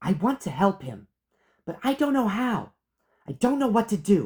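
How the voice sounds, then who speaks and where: Fairly high in pitch, this is a put-on character voice. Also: moderate pace. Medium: read story. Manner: blunt, intense.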